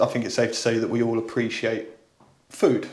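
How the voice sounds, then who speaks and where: A man talks with a Southern English accent. Audible room echo surrounds his voice. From southern England. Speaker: podcast host and musician. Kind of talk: casual chat.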